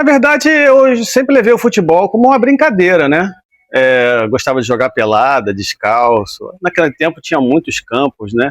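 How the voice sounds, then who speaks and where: In a relaxed tone, a man speaks at a moderate pace in a high pitch, with very wide pitch swings but very even loudness. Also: dry, close sound with no echo. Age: 60s. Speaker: retired footballer. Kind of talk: interview. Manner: relaxed conversational.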